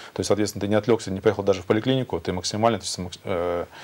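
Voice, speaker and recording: This man's voice sits fairly low. He talks very fast, with fairly even intonation. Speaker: hospital chief doctor. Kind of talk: expert answers in a live TV discussion. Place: studio. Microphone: lapel.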